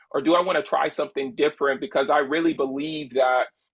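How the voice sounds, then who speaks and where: A man talks in a normal speaking voice, fairly high in pitch with fairly even intonation. The sound is dry and close, with no echo. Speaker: storyteller, agency co-founder. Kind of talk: interview answer.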